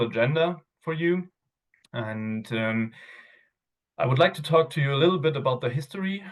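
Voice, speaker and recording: A man speaks with a non-native accent. His pitch varies in an ordinary way. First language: not English. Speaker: outdoor gear product manager. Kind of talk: webinar presentation. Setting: video call webinar. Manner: hesitant, many fillers.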